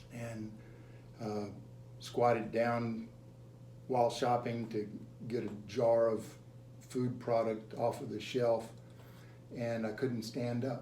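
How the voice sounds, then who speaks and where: Against noticeable background noise and audible room echo, a man speaks at medium pitch in a monotone, flat intonation, at a very slow pace with long, frequent pauses. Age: 60s. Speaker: gym member. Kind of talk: interview testimony. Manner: halting, repeats words.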